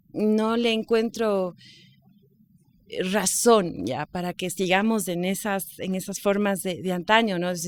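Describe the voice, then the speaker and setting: In a very clean recording with a silent background, a woman at a medium pitch with ordinary pitch variation speaks at a very slow pace. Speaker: radio host and journalist. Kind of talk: podcast interview answer, casual conversational talk.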